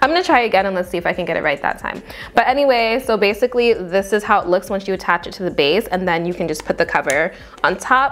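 A woman talks at a very fast pace with lively intonation. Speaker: beauty vlogger. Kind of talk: casual product review chat. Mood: amused, mildly frustrated. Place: home room.

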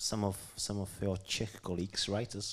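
Keeping to a moderate pace, a man speaks at a fairly low pitch with little pitch movement.

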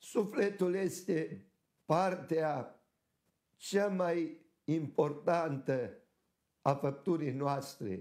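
A man with a fairly high pitch speaks at a very slow pace with long, frequent pauses and ordinary pitch variation, and audible room echo fills the room. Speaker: Orthodox archbishop. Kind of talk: sermon.

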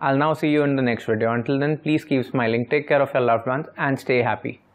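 The background is quiet as a man talks at a very fast pace in a fairly high pitch. His intonation is fairly even and his loudness very even. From India. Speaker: personal finance educator; presenter. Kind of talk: tutorial. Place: home room. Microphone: lapel.

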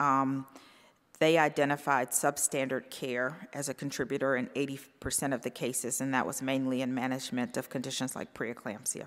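A woman with an American accent speaks in a very deep, low pitch. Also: quiet background. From North Carolina. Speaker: physician and professor. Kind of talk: conference talk. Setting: stage with audience. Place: stage. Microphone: podium.

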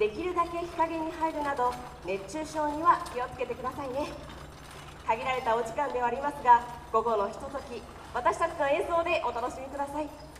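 A woman with a high pitch speaks at a fairly quick pace, her loudness swinging widely and her pitch variation ordinary. Audible room echo and light background noise fill the recording. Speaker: concert emcee. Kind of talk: formal event announcement. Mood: polite and cheerful. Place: street.

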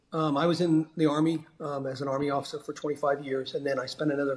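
A man talks at a moderate pace. His voice is somewhat breathy, with monotone, flat intonation. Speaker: remote podcast guest. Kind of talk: interview answer. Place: home room. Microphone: video call.

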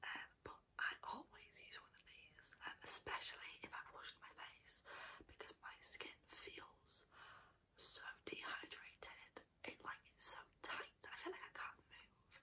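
A woman whispering at a fairly slow pace, relaxed in tone, with big swings in loudness. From UK. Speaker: ASMR creator. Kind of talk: casual talk to camera, product demonstration. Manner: soft-spoken, relaxed, chatty, whispery. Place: home room. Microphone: earbuds.

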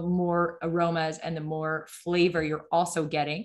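A woman's fairly low, monotone, flat voice at a moderate pace, over a quiet background. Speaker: wine expert presenter; presenter. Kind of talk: webinar presentation. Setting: video call. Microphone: video call.

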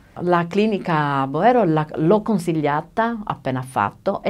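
A woman is speaking. Her intonation is lively. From Italy, San Basilio; Italy. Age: 50s. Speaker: dental patient. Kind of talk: testimony. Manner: halting. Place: studio.

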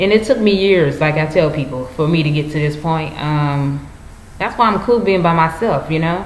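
A woman speaks at a moderate pace in a very deep, low pitch, with ordinary pitch variation. Light background noise and audible room echo sit around her voice. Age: 20s. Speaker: YouTuber. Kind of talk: personal vlog monologue. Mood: earnest, preachy. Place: home room. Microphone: webcam.

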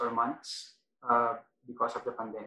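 Against audible room echo, a man speaks in a monotone, flat intonation. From Philippines. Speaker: arbitration lawyer. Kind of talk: webinar panel discussion. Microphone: video call.

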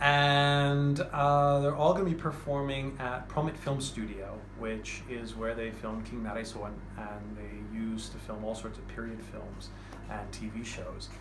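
The speaker talks at a fairly slow pace. Background noise is noticeable. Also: man. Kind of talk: casual promotional talk. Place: shop. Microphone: phone near.

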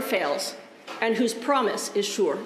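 Fairly high-pitched woman's voice with lively intonation and a moderate pace, audible room echo and light background noise. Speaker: Lutheran pastor. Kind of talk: church service welcome and liturgy. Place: church.

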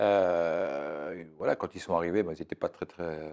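A man with a dark, mellow tone talks at a fairly slow pace over a quiet background. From Burgundy, France (Beaune); Burgundy, France. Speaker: weather forecaster; interview guest. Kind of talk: interview. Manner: halting. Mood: relaxed, warm storytelling. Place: studio.

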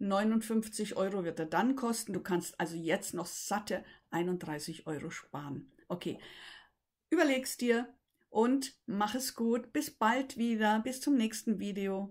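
Speaking at a very slow pace, a woman sounds somewhat breathy against a quiet background. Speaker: voice coach. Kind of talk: tutorial. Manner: halting. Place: home room. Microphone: webcam.

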